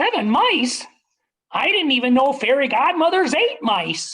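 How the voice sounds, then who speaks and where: A man adopts a put-on character voice, pitched extremely high and delivered at a moderate pace. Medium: stage play.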